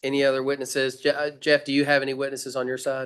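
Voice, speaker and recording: Here a man talks at a very fast pace with a Southern US accent. The background is quiet. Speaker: medical board chair presiding over hearing. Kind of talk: formal hearing proceedings. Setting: video call meeting. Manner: halting, many fillers.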